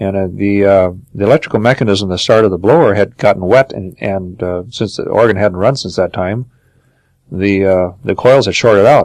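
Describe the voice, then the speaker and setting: A man with an Upper Midwest accent, moderate pace and ordinary pitch variation. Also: fairly low pitch for a man. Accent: Upper Midwest American. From Minnesota. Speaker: organ builder. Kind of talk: interview answer.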